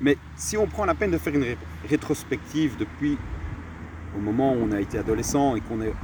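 A man speaks fairly quickly, with noticeable background noise throughout. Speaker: entrepreneur and mindset coach. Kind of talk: casual interview. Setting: outdoors in a garden.

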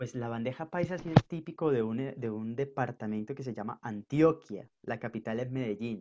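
A man talks at a medium pitch with hardly any pauses. The sound is dry and close, with no echo. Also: ordinary pitch variation, moderate pace. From northern Colombia, Caribbean coast. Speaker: podcast guest. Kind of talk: casual interview chat. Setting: video call.

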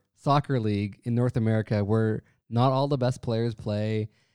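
In a Canadian accent, a man with a medium pitch and a dark, mellow tone speaks at a fairly slow pace, with a dry, close sound with no echo and a quiet background. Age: 30s. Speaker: sports fan podcast guest. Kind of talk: casual chat.

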